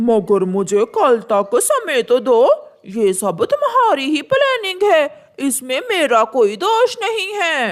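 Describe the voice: A high-pitched cartoonish character voice at a fairly slow pace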